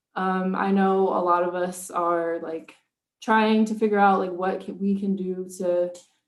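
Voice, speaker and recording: Over audible room echo, a woman speaks at a fairly slow pace and medium pitch in a monotone, flat way. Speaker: small business owner, candle maker. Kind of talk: casual talk on a virtual event.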